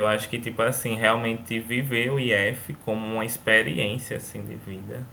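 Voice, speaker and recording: Vocal fry colors a man's bright, sharp tone as he talks at a moderate pace. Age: 20s. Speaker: former student, university student. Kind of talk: casual chat.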